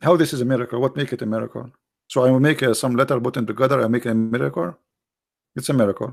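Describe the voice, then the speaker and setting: In an Arabic accent, a man talks at a very fast pace with a medium pitch and ordinary pitch variation. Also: very clean recording, silent background. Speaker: religious debater. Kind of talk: live broadcast lecture. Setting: live stream. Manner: animated; halting.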